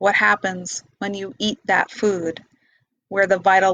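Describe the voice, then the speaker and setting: The intonation is monotone and flat. A woman delivers it at a medium pitch. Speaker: meditation teacher and vlogger. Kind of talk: casual monologue. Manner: slow.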